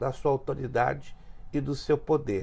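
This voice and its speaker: A man's somewhat breathy voice proceeds at a fairly slow pace. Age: 60s. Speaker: pastor. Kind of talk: interview.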